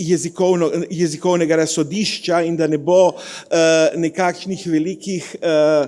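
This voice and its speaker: With a Slovenian accent, a man speaks in a monotone, flat way at a fairly slow pace, his high pitch carrying a dark, mellow tone. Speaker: political analyst. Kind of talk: conference talk. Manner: halting, many fillers.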